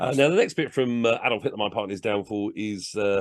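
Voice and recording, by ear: Someone reads aloud in their natural voice, letting the pitch vary by an ordinary amount.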